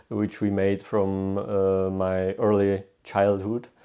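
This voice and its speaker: A man with a Czech accent, a dark, mellow tone and a very slow pace, against a quiet background. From Czech Republic, southern Bohemia. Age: 20s. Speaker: historian. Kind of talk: interview. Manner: halting, many fillers and restarts.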